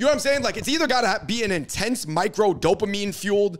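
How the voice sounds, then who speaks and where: Against a quiet background, a man with an American accent speaks with vocal fry. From US. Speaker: podcast host. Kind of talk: casual chat. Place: studio. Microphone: handheld.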